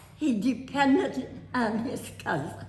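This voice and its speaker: A woman with an American accent talks very slowly in a high voice, with noticeable background noise and audible room echo. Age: 80s+. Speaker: family elder telling her life story. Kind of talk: storytelling. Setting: family reunion.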